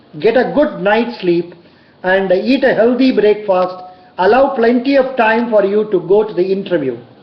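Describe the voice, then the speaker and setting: The speech moves at a moderate pace against noticeable background noise. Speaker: bank interview coach. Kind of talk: tutorial. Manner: loud.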